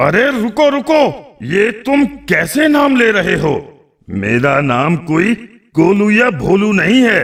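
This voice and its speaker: Bellowing in a gruff, cartoonish character voice, a man goes fairly slowly at a high pitch with very wide pitch swings. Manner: roaring, gruff.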